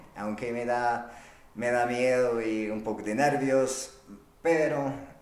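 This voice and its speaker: A man speaks at a very slow pace in a room with audible echo. Noticeable background noise is present. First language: not Spanish (speaking Spanish). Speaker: podcast host. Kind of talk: solo monologue. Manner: halting.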